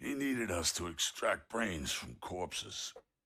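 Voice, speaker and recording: A put-on character voice, raspy and fairly slow. Its pitch swings very widely. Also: man, very deep, low pitch for a man. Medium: video game. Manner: gruff, clipped.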